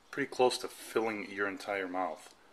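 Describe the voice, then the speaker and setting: A man is speaking. There is noticeable noise behind him throughout. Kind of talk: casual home tutorial. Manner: conversational, many fillers.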